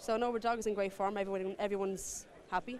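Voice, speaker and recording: A woman with an Irish accent, medium pitch, fairly even intonation and a very fast pace. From Ireland, Waterford. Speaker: greyhound owner. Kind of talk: casual interview.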